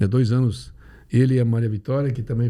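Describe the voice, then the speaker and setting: This man speaks very fast at a medium pitch, with fairly even intonation. His tone is dark and mellow and somewhat breathy. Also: very clean recording, silent background. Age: 70s. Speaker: neurosurgeon. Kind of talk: casual chat.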